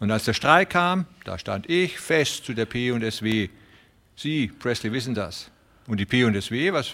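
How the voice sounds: Lively intonation in a natural reading voice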